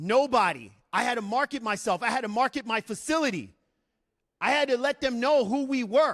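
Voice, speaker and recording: A man speaks loudly at an extremely high pitch and a moderate pace, his tone animated and his intonation lively. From New York City (Bronx), raised from age eight in Arizona. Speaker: Marine veteran and fitness business owner. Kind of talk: motivational talk. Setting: stage with audience. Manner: high-energy, animated.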